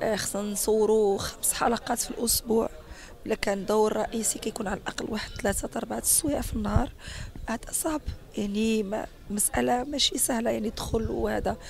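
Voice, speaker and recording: Noticeable background noise accompanies a woman speaking with a Moroccan accent. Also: moderate pace. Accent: Moroccan Arabic (Darija). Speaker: actress and dubbing artist. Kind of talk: interview.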